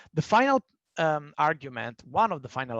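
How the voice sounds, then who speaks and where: A man speaks in an Italian accent at a moderate pace. The sound is dry and close, with no echo. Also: quiet background. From Italy. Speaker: panel speaker on human rights. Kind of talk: presentation in online panel discussion. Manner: halting, with fillers.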